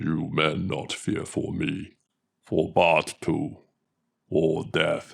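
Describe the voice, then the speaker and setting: Putting on a raspy character voice, a man speaks very slowly at a very deep, low pitch, with long, frequent pauses. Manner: gruff, commanding.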